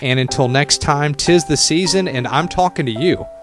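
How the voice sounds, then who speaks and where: Music in the background under a man's fairly high voice, moderate pace and ordinary pitch variation. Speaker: radio personality. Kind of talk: radio show hosting.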